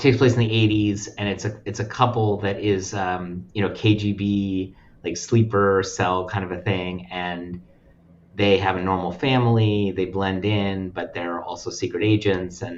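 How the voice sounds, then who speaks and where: Fairly low in pitch, a man with an American accent speaks at a moderate pace with fairly even intonation. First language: Russian. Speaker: nonprofit lending representative. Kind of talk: casual chat.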